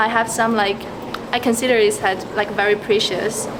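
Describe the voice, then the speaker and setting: Over noticeable background noise and audible room echo, a woman with a Mandarin accent speaks at a moderate pace in a fairly high, flat monotone. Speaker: passerby interviewed on the street. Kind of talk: street interview. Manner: halting, with fillers.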